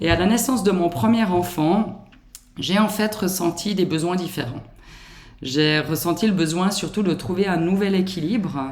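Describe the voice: A woman with a slight Swiss French accent speaks at a moderate pace in a fairly low pitch, with a slightly mellow tone and ordinary pitch variation.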